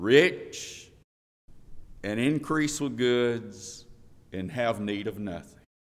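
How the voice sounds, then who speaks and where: A man speaks with a Southern US accent. His pace is very slow. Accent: Southern American. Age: 50s. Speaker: preacher. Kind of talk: sermon. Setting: church.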